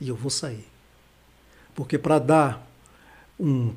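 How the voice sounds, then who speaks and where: A somewhat breathy man with a fairly high pitch, a fairly slow pace and fairly even intonation. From Recife, Pernambuco, Brazil. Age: 60s. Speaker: pastor and teacher. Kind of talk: casual interview. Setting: studio livestream.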